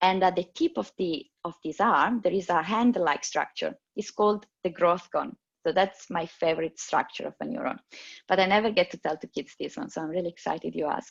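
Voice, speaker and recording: In an Italian accent, a woman speaks at a fairly quick pace and medium pitch with lively intonation, the sound dry and close with no echo. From Italy. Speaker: neuroscience PhD researcher. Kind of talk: interview. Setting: video call. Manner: halting.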